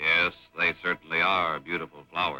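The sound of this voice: Over faint background music, a man puts on a gruff character voice at a moderate pace.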